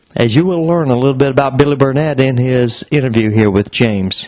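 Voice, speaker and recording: A man speaks at a medium pitch with ordinary pitch variation. Noticeable background noise is present. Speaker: podcast co-host. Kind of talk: podcast intro and outro.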